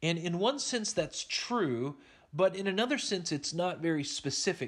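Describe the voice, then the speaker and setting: A man with an unremarkable speaking voice and an American accent, lively intonation at a moderate pace, over a quiet background. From Oklahoma. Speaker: Bible teacher. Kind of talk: Bible study lecture.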